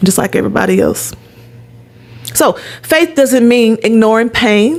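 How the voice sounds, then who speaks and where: A woman speaks at a moderate pace in an animated tone. Her loudness stays very even over noticeable background noise. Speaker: podcast host and wellness coach. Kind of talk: solo podcast monologue.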